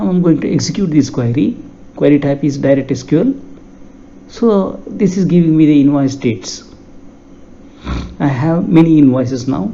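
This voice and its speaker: Against noticeable background noise, a man with a Karnataka accent and a fairly high pitch talks at a moderate pace with lively intonation and long, frequent pauses. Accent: Indian English, Kannada. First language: Kannada. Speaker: software tutorial instructor. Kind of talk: tutorial.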